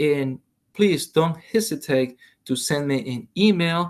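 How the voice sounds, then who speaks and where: With a Salvadoran accent, a man speaks at a fairly high pitch with ordinary pitch variation. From El Salvador. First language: Spanish. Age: 40s. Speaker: Spanish teacher. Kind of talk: online lesson. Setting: recorded video lesson. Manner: hesitant, many fillers.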